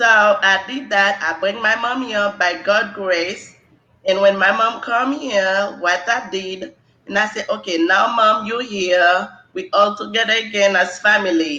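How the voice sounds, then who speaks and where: The speaker has a Haitian accent. The pace is fairly slow. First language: Haitian Creole. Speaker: nursing exam candidate. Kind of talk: interview.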